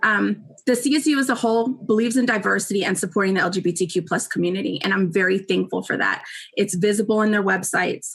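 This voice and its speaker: Speaking at a very fast pace, a woman uses a medium pitch with ordinary pitch variation and vocal fry. Her loudness stays very even. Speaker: university staff presenter. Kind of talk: presentation.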